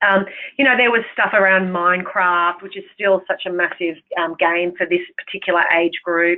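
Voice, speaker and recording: The voice belongs to a woman and sits at a medium pitch. She keeps her intonation fairly even. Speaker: program presenter. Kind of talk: webinar presentation. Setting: online webinar. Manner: fast.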